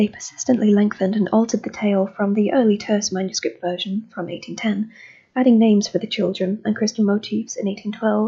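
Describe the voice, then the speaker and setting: Somewhat breathy and dark, mellow in tone, a woman's voice keeps fairly even intonation. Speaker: amateur reader. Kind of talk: magazine article reading.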